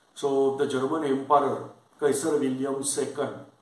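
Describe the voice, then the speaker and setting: A man speaks at a fairly high pitch and a fairly slow pace. His intonation is monotone and flat, with audible room echo. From India, Maharashtra. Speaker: lecturer; exam-prep teacher. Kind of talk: lecture. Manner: halting, many fillers.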